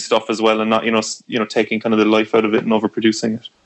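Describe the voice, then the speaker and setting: At a very fast pace, a man with an Irish accent speaks at medium pitch. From Ireland. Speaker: musician. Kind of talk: casual chat.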